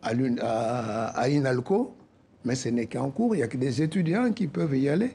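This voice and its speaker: With a West African accent, a man speaks at medium pitch and a moderate pace with lively intonation. His dark, mellow tone is somewhat breathy. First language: Soninke (speaking French). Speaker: association president. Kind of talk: interview.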